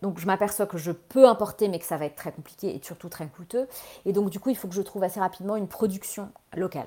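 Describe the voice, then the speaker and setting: Speaking at a very fast pace, a woman has a dark, mellow tone, medium pitch, ordinary pitch variation and big swings in loudness. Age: 40s. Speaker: fashion entrepreneur. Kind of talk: interview.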